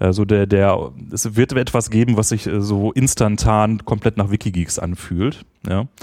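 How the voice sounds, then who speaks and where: Fairly low in pitch with a dark, mellow tone, this man speaks at a moderate pace and with fairly even intonation. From Ruhr area, Germany (Essen). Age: 40s. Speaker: podcaster and former librarian. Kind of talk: casual interview. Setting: meetup with large-diaphragm studio mic.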